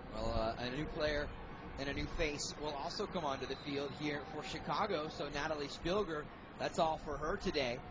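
Noticeable background noise behind a man's fairly high voice with fairly even intonation. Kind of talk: live sports commentary. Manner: fast, fluent play-by-play.

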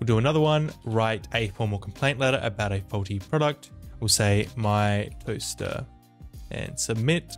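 Faint music plays in the background as a man with a fairly low pitch speaks at a moderate pace. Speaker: tech tutorial creator. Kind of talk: tutorial. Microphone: studio mic.

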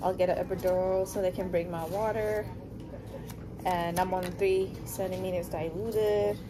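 A woman keeps her intonation fairly even while noticeable noise is heard behind her. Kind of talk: casual vlog chat. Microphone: phone near.

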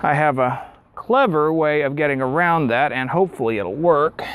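The recording is dry, with no echo. A man talks at a moderate pace. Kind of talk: tutorial. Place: garage.

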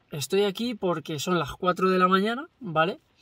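This man talks in a high voice at a fairly slow pace, with ordinary pitch variation. The sound is dry with no echo, and the background is quiet. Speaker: vlogger. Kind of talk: casual vlog chat. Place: car.

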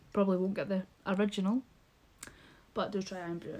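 A woman talks at a medium pitch. Loud background noise surrounds her voice. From Scotland. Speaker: YouTuber. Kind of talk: casual vlog haul. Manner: animated. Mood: cheerful, warm. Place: home room. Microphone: phone near.

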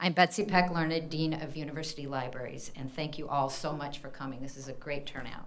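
With an American accent and a very deep, low pitch, a woman talks at a very fast pace with hardly any pauses, fairly even intonation, and big swings in loudness. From US Midwest, Indiana. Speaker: university library dean. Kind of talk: event introduction. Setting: stage with audience. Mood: warm, grateful. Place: hall. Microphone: podium.

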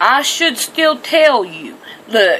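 A woman speaks at a very slow pace with very wide pitch swings. Light background noise is present. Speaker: home bible teacher. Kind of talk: scripture reading and sermon-like commentary. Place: home room. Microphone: webcam.

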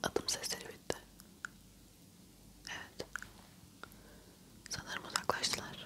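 Whispering at a fairly slow pace, a woman leaves long, frequent pauses. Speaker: ASMR creator. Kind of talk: ASMR roleplay, whispered and soft-spoken with mouth sounds. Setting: studio, close microphone. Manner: whispered, soft-spoken, hushed. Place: home room. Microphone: lapel.

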